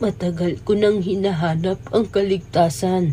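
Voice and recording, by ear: Clear background noise sits behind this cartoonish character voice. The pitch is middle and the pace fairly slow.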